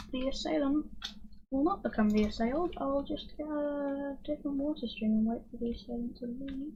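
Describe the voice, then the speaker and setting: Quiet and high-pitched, a woman talks at a moderate pace. Her tone is dark and mellow. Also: ordinary pitch variation. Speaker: gaming streamer. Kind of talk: casual gameplay commentary. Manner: calm. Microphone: may be cutting out quiet speech.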